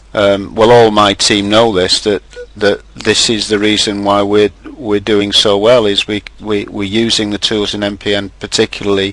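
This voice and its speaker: Noticeable background noise sits behind a man speaking at a moderate pace. His fairly low voice is monotone and flat. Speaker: webinar host. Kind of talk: webinar discussion. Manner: loud.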